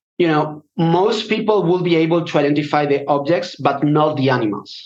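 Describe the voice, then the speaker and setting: A man with a Spanish accent, fairly high in pitch, at a fairly slow pace with ordinary pitch variation. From Spain. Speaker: data scientist. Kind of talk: interview. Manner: halting.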